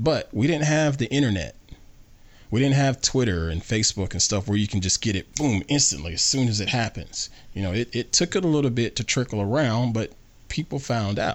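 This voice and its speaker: A man with a Southern US accent, medium pitch, lively intonation and a fairly quick pace. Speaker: podcast host. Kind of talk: casual family chat. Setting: home studio.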